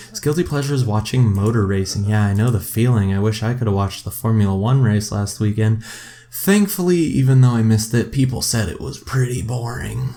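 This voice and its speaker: A man's medium-pitched, dark, mellow, somewhat breathy voice with lively intonation at a fairly quick pace. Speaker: gaming youtuber. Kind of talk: let's play commentary. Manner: casual, hesitant with fillers. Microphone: laptop audio.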